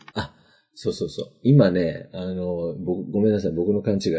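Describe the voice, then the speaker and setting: Very deep and low in pitch, a man speaks at a moderate pace with a dark, mellow tone. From northern Kanto, Japan. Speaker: podcast host. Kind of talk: casual chat.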